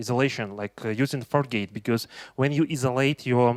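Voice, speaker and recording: The voice carries a Russian accent. The recording is very clean, with a silent background and a dry, close sound with no echo. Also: man. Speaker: tech conference speaker. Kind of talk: conference talk. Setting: stage with audience. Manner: halting, many fillers.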